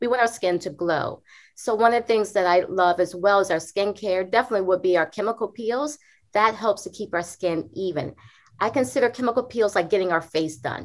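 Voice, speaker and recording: A woman speaks in an unremarkable speaking voice at a fairly quick pace, medium in pitch with ordinary pitch variation, on a very clean recording with a silent background. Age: 40s. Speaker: dermatologist. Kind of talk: interview.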